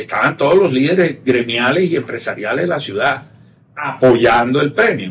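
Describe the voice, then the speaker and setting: Speaking with a Caribbean Colombian accent, a man uses lively intonation at a fairly high pitch. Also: moderate pace. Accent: Colombian Caribbean (costeño). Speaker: tech entrepreneur, company cofounder. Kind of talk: interview conversation. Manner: casual, colloquial.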